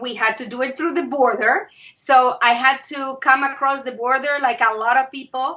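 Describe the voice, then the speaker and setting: In a raised, projected voice, a woman with an Argentine accent speaks at a moderate pace with a high pitch and a bright, sharp tone. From Argentina, Buenos Aires. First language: Spanish. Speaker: author and consultant. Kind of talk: interview. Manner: hesitant fillers.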